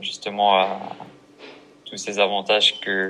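A man's fairly low, monotone voice with flat intonation amid noticeable background noise. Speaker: podcast host. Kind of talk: casual interview. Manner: halting, repeats words. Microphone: poor sound quality on his parts.

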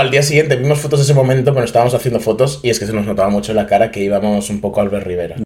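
Speaking very fast in a Madrid accent, a man at medium pitch shows ordinary pitch variation against noticeable background noise. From Madrid, Spain. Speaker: podcast guest, unofficial collaborator. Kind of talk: casual chat.

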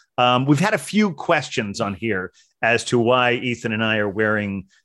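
A man with an American accent, medium pitch and a bright, sharp tone, in a very clean recording with a silent background. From Ohio. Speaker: beer podcast host. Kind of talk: casual chat. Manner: halting.

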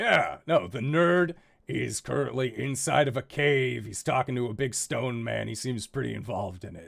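On a very clean recording with a silent background, a man puts on a raspy character voice of medium pitch at a moderate pace. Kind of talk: tough-guy bar brawler talk. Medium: actual play. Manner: gruff, blunt, casual.

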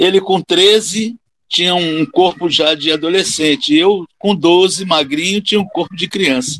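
The man's pitch is high, with ordinary variation. He speaks at a fairly slow pace. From Rio de Janeiro, Brazil. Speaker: capoeira master and physical education teacher. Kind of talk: casual interview conversation.

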